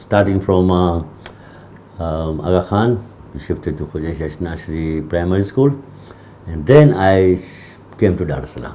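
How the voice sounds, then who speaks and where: Through noticeable background noise, a man with a very deep, low pitch speaks with lively intonation and long, frequent pauses. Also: moderate pace. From Tanzania (Ujiji/Kigoma). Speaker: community historian. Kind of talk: interview.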